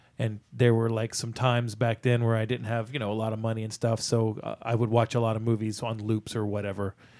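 Speaking at a fairly quick pace, a man with a medium pitch comes through on a very clean recording with a silent background. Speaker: movie podcast co-host. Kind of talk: casual chat. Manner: fast; excitable.

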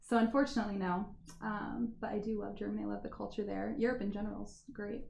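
A woman with an American accent, very fast speech broken by long, frequent pauses, in audible room echo. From US Midwest, Indiana. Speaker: restaurant and wine bar owner. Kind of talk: casual interview chat.

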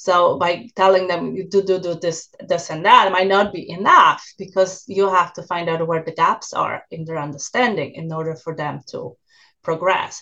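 With a Polish accent, a woman talks at a moderate pace in a bright, sharp tone, her intonation fairly even and her loudness swinging widely. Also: medium pitch for a woman. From Poland. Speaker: university professor and researcher. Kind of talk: interview.

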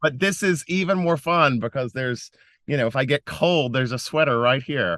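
A man with an American accent, an ordinary speaking voice, and lively intonation at a fairly quick pace against a quiet background. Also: fairly high pitch for a man, dry, close sound with no echo. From US South, western North Carolina mountains. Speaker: nonprofit founder and philanthropy advisor. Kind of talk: interview. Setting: recording from inside a closet at home.

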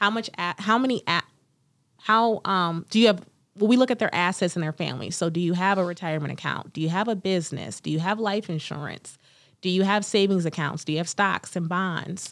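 On a very clean recording with a silent background, a woman with an American accent and an unremarkable speaking voice talks at a fairly quick pace and a medium pitch, with ordinary pitch variation. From US Midwest, Cleveland, Ohio. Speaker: estate planning attorney. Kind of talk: interview.

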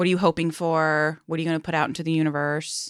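A woman's fairly low voice comes through on a very clean recording with a silent background. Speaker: therapist and podcast host. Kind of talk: casual chat. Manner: uses many minimal encouragers.

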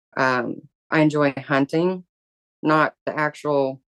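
A woman with a Southern US accent speaks at a very deep, low pitch with fairly even intonation, in a dry, close sound with no echo. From US South. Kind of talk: interview.

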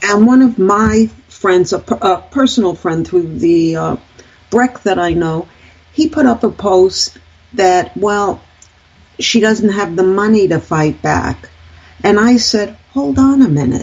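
Speaking at a very slow pace, a woman with an American accent has a medium pitch. Her intonation is lively. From United States. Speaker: radio talk show co-host. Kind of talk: political commentary chat. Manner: animated.

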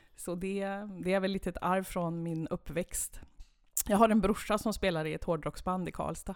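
An unremarkable speaking voice from a woman at medium pitch, fairly even in intonation, at a moderate pace, on a very clean recording with a silent background. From Sweden, Värmland (Kil). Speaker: municipal head of culture. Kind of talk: interview.

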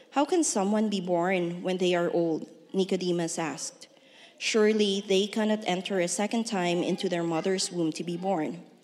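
In a Filipino accent, a woman speaks at a moderate pace and medium pitch with ordinary pitch variation. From Philippines. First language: Ilonggo. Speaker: church member reading scripture. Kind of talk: reading aloud. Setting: church.

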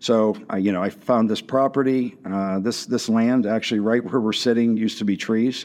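With an American accent, a man in an unremarkable speaking voice talks at a moderate pace and fairly even intonation against a quiet background. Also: medium pitch for a man, hardly any pauses. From western Pennsylvania (Washington, PA). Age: 50s. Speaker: chef and restaurant owner. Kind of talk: casual interview.

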